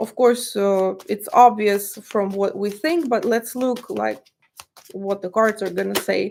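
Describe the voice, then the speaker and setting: A woman talks in a Russian accent. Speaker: tarot reader. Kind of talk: tarot reading monologue. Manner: halting, many fillers.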